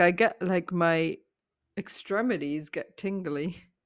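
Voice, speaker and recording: A woman with a normal speaking voice, fairly low in pitch, with fairly even intonation on a very clean recording with a silent background. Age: 30s. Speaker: podcast co-host. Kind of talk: casual chat.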